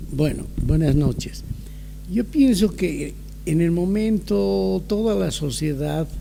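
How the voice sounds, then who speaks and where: A man's very slow speech plays out against noticeable background noise. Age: 70s. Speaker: older adult giving testimony. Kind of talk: testimony. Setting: video call.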